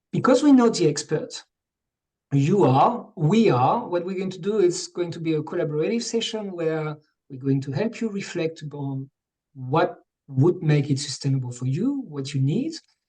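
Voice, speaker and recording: Lively intonation and a dark, mellow tone in a French accent, at a moderate pace. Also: man, high pitch for a man. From France. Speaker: coach and webinar co-host. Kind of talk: online workshop introduction.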